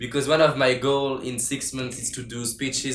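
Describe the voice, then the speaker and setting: With a French accent and a medium pitch, a man talks at a fairly quick pace amid audible room echo. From France. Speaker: interviewer. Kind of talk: casual interview. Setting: video call.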